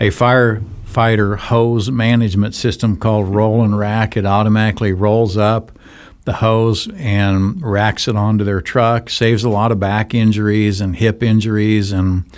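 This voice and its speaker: A man with a fairly low pitch speaks at a moderate pace with hardly any pauses, in a monotone, flat intonation at very even loudness. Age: 60s. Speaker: nonprofit charity director. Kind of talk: interview. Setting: studio.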